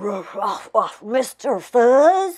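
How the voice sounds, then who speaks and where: The speaker growls in a put-on character voice. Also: woman. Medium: read story.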